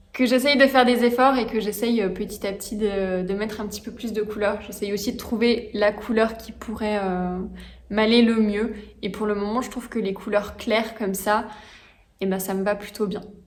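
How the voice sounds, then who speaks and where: A woman speaks at a moderate pace in a fairly high, monotone, flat voice. Noticeable background noise is present. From France, Franche-Comté. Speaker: knitting and sewing hobby vlogger. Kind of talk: casual vlog monologue. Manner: hesitant, many fillers.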